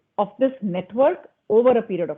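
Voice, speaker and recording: A woman with an Indian accent speaks at a fairly high pitch. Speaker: panelist on digital commerce. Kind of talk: panel discussion.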